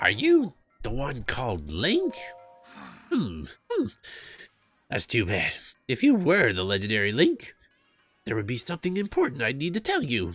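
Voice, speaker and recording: Someone talks at a moderate pace in a put-on character voice. Music plays in the background. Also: man. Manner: hesitant, pondering, stilted.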